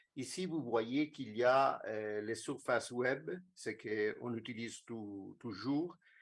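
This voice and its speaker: In an Italian accent, a man talks at a very slow pace. His medium pitch shows ordinary variation. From Italy. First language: Italian (speaking French). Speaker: conference speaker, social project planner. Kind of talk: lecture presentation. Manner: halting, many hesitations. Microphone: remote connection, poor sound from room.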